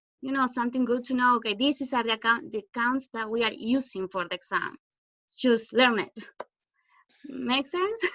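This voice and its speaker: A woman with a Spanish accent talks at a moderate pace in a high pitch, with ordinary pitch variation. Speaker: student. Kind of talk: online class Q&A.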